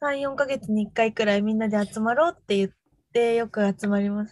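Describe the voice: A woman speaks at a fairly quick pace, her pitch fairly high and her tone slightly mellow. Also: ordinary pitch variation.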